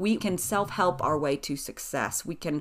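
With an American accent and lively intonation, a woman talks at a moderate pace in an ordinary speaking voice on a very clean recording with a silent background. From US South, East Tennessee (Appalachia). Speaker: author and speaker. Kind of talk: interview conversation.

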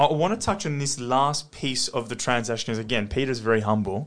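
A man with an Australian accent speaks against a quiet background. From Australia, Western Sydney. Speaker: podcast host, property investor. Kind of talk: casual interview chat.

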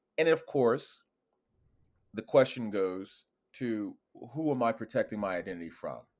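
Lively in intonation, a man speaks at a moderate pace and a medium pitch. He leaves long, frequent pauses. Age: 40s. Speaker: cyber security consultant, ex intelligence operative. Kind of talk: interview.

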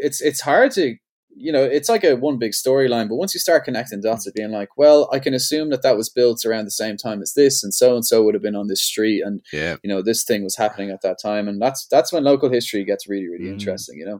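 A man speaks in a Dublin accent at a very fast pace. His intonation is lively. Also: medium pitch for a man, hardly any pauses. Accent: Irish (Dublin). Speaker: skateboarder and entrepreneur. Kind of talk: casual chat.

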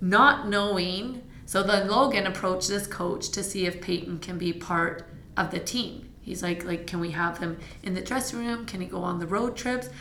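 A woman with a Canadian accent speaks at a moderate pace and medium pitch, with ordinary pitch variation. Noticeable background noise and audible room echo fill the recording. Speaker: fitness studio owner and instructor. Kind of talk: casual interview. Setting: fitness studio.

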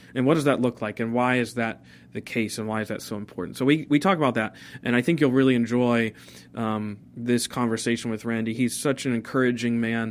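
Speaking at a fairly quick pace, a man uses a normal speaking voice of medium pitch with fairly even intonation. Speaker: pastor and podcast host. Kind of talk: casual interview conversation.

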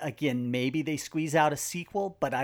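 Using an unremarkable speaking voice, a man keeps a moderate pace and ordinary pitch variation. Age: 40s. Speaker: box office analyst. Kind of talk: casual chat.

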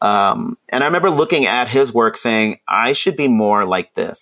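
The recording is very clean, with a silent background and a dry, close sound with no echo. A man speaks at a moderate pace. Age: 40s. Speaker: children's book author-illustrator. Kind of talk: casual interview chat.

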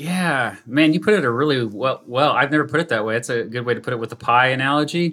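Talking very fast with hardly any pauses, a man with an American accent uses a bright, sharp tone, a medium pitch, and ordinary pitch variation. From US, small town. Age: 40s. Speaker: YouTube educator, former teacher. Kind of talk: casual interview chat.

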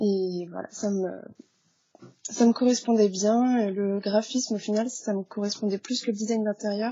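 Using a plain, everyday voice, a woman speaks fairly slowly at a fairly high pitch with fairly even intonation. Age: 20s. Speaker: freelance graphic designer. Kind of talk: casual interview. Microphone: poor sound quality.

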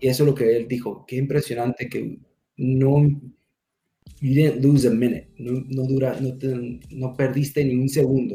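A man's somewhat breathy voice at medium pitch, dark and mellow in tone, with monotone, flat intonation and a fairly slow pace. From California, raised from toddler in US, born Mexico. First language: English (speaking Spanish). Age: young. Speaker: security manager and military veteran. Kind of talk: interview. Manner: halting.

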